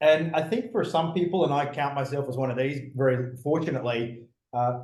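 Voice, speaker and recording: Man with an Australian accent, a medium pitch and a fairly quick pace, with audible room echo. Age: 40s. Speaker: former fighter pilot and business speaker. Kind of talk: interview conversation. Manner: many fillers and false starts.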